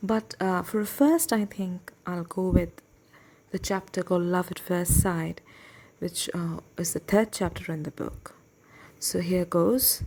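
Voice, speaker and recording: In a very clean recording with a silent background, a woman with a Bengali accent speaks fairly slowly at medium pitch, her tone dark and mellow and her intonation fairly even. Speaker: book reading podcast host. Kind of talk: personal reflection before reading aloud. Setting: at home desk, night. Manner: hesitant, with fillers.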